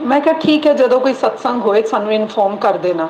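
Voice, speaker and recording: A woman speaks over noticeable background noise. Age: 60s. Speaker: devotee sharing experience. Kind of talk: testimony.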